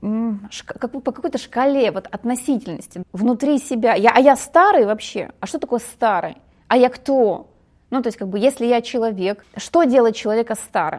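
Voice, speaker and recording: A moderate pace with lively intonation. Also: woman, high pitch for a woman. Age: 40s. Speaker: women's psychology speaker. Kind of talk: podcast interview. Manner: halting.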